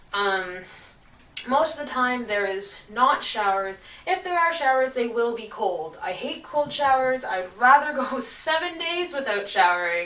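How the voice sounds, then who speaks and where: A woman speaks in a high voice with very wide pitch swings, over noticeable background noise. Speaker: traveller. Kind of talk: casual talk to camera.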